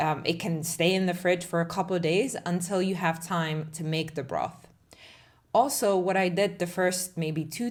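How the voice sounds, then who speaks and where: A woman at medium pitch and moderate pace, in a Czech accent. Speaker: cooking content creator. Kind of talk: tutorial voiceover. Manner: casual, conversational.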